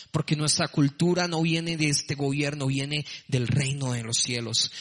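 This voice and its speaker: There is noticeable background noise. A man with a fairly high pitch talks at a moderate pace. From Colombia, Bogotá. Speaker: preacher. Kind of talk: sermon.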